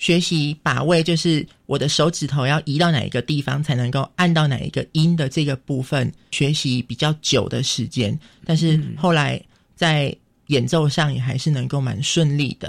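A man with a plain, everyday voice, fairly high in pitch, at a moderate pace and with fairly even intonation. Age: 20s. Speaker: visually impaired university student. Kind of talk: radio interview.

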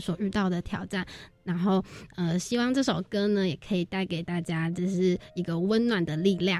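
A woman speaks in a dark, mellow tone at a moderate pace. Her pitch is medium and her intonation fairly even. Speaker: university student, volunteer team leader. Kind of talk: radio interview.

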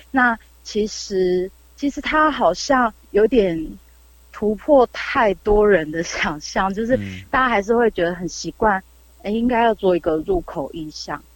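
A woman at medium pitch, lively in intonation, at a fairly slow pace. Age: young. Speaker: artist. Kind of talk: casual interview. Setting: remote call.

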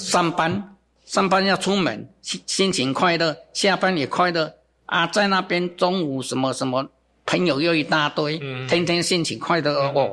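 Speaking fairly slowly, a man uses a high pitch. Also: ordinary pitch variation. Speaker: bonsai gardener and business founder. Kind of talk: interview. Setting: studio. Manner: casual with many filler particles.

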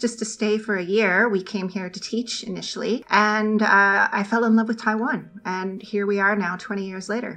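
A woman talks at a fairly quick pace with a fairly high pitch and fairly even intonation. She has a plain, everyday voice. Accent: Canadian. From Ontario, Canada. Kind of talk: radio interview.

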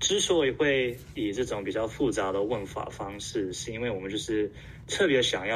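Speaking at a moderate speed, a man is heard with audible echo from the room. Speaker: survey organizer and asexual community volunteer. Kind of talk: interview. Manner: halting.

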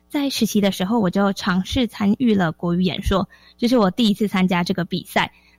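With music in the background, a woman speaks at a fairly quick pace and very even loudness, her medium pitch showing ordinary variation in a dry, close sound with no echo. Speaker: teacher. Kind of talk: radio interview. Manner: crisp, precise enunciation.

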